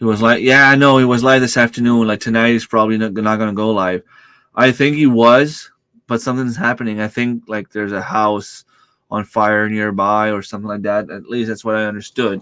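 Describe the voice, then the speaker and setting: Loud and at a fairly quick pace, a man speaks at a medium pitch with fairly even intonation, on a very clean recording with a silent background. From New Brunswick, Canada. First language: French. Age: 40s. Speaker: homesteading YouTuber. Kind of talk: livestream chat. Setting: home computer room. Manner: speaks loudly to reach mic; hesitant, stumbles over words.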